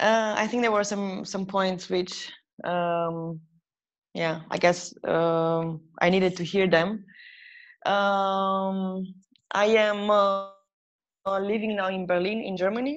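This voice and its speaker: At a very slow pace, a woman with a medium pitch speaks in fairly even intonation, leaving long, frequent pauses. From Romania. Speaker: photographer. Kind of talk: casual chat. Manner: halting.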